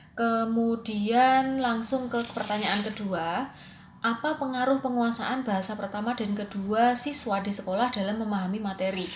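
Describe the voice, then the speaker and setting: A woman with a Javanese accent speaks at a moderate pace, hardly pausing, her fairly high pitch held to fairly even intonation. Noticeable background noise and audible room echo fill the recording. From Java, Indonesia. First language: Javanese (speaking Indonesian). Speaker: English teacher and student. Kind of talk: recorded presentation. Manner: casual, hesitant with fillers.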